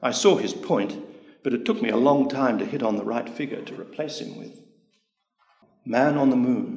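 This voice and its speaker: With long, frequent pauses, a man speaks in a fairly high pitch for a man, his pitch swinging very widely and his loudness rising and falling sharply. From Australia, Sydney. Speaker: poet. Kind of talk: slow, measured reading aloud of his own rhymed metrical love poem. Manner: quiet, wistful and resigned, lingering on each image; formal, precise and deliberate.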